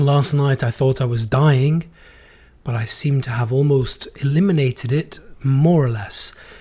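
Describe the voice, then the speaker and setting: With a fairly high pitch for a man, this somewhat breathy male speaker has a dark, mellow tone, ordinary pitch variation and a fairly slow pace. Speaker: podcast host. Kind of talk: casual monologue. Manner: unsteady voice.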